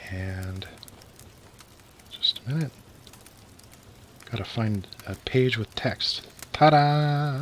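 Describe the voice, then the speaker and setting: Long, frequent pauses in very slow talk, with noticeable background noise behind. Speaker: storyteller streamer. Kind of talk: reading aloud; casual chat. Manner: halting.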